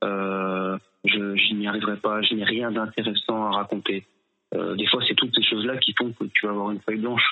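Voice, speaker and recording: Music plays behind a man with a fairly low voice. He talks at a moderate pace in a monotone, flat intonation. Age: 30s. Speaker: slam poet. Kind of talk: interview answers. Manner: halting.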